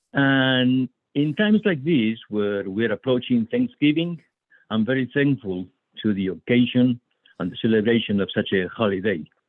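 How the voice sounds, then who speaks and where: A medium-pitched man's voice with a Spanish accent, lively intonation and a moderate pace. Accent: foreign (Spanish). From Spain. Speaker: poet. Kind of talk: poetry reading.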